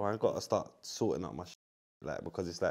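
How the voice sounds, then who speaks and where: A man's dark, mellow tone at a fairly quick pace against a quiet background. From London. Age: 30s. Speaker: former professional footballer. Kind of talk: podcast interview answer. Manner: casual, slang-heavy. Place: studio.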